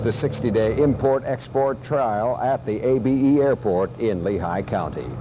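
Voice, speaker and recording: Speaking at a moderate pace over noticeable background noise, a man uses a medium pitch with ordinary pitch variation. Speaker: local TV news anchor. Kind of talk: 1980s local TV newscast anchor read.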